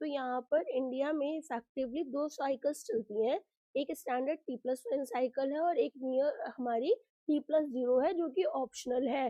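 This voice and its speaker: With ordinary pitch variation, the speech unfolds at a fairly slow pace. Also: woman, high pitch for a woman. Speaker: online exam-prep teacher. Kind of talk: lecture. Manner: conversational, explanatory.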